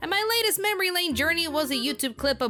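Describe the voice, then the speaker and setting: Over music in the background, a woman speaks in a raised, projected voice. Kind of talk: anime review narration to camera.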